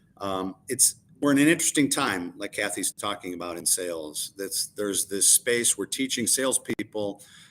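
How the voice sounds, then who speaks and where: A man with an unremarkable speaking voice moves at a moderate pace, his pitch varying in an ordinary way. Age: 60s. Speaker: sales coach and consultant. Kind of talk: live-stream panel discussion. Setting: live stream.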